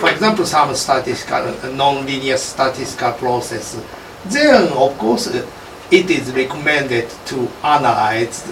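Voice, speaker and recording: The voice moves at a fairly slow pace with ordinary pitch variation, while noticeable background noise and audible room echo fill the recording. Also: man. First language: Japanese. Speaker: professor leading lab seminar. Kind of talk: academic seminar discussion. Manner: halting, many fillers.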